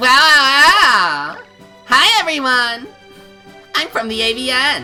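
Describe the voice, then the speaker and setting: A put-on character voice speaks at a high pitch and a very slow pace over faint background music. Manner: bright, energetic.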